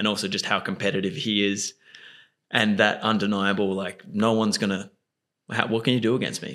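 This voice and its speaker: On a very clean recording with a silent background, a man with an Australian accent speaks fairly quickly in a fairly low pitch, his tone bright and sharp and his intonation monotone and flat. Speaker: podcast host. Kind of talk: casual interview chat.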